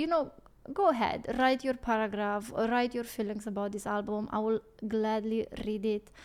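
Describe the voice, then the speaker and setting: A woman with a non-native accent speaks at a moderate pace. Her pitch is fairly high and her intonation fairly even. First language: not English. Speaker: music reaction YouTuber. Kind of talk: casual reaction video outro. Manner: halting.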